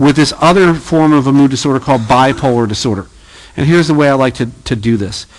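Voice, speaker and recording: In a normal speaking voice, a man talks at a fairly high pitch. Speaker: psychology professor. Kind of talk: lecture.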